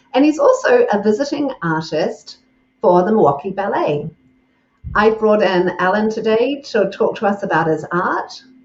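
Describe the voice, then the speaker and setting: Speaking with a New Zealand accent, a woman uses lively intonation, a fairly high pitch and a moderate pace. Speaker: podcast host, communications coach. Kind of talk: interview.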